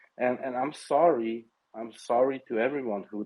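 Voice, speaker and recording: At a fairly slow pace, a man with a non-native accent speaks with ordinary pitch variation. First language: not English. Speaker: crypto bankruptcy creditor. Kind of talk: casual discussion. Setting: online audio space. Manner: animated.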